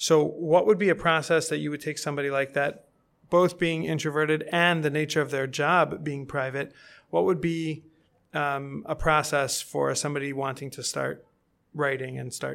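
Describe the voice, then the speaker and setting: The man's intonation stays flat and monotone. He keeps a moderate speed. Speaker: podcast host. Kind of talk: casual interview chat.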